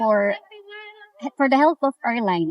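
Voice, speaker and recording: A woman with a non-native accent speaks at a high pitch. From Philippines. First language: Filipino. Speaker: travel assistant. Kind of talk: interview. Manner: halting, repeats words.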